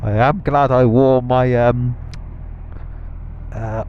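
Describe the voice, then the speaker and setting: A man with a British accent speaks at a medium pitch, his tone dark and mellow. He leaves long, frequent pauses. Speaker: motorcycle vlogger. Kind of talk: casual unscripted talk while riding. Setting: helmet microphone, outdoors.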